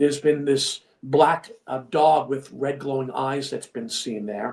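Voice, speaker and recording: A man with a Long Island accent talks at a fairly slow pace, his fairly high pitch held in fairly even intonation. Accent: New York (Long Island). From Long Island, New York. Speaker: filmmaker and actor. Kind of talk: casual chat.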